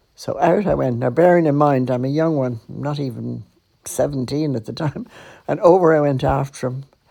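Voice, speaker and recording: Very deep, low pitch from a woman with a Dublin accent, vocal fry, and a dark, mellow tone. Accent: Dublin Irish. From Ireland, Dublin. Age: 80s+. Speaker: podcaster and storyteller. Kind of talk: personal storytelling. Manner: conversational.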